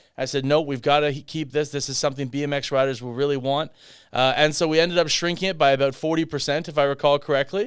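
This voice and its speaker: Speaking at a very fast pace, a man with a Canadian accent uses a fairly high pitch and fairly even intonation. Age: 30s. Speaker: political candidate. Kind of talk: podcast interview.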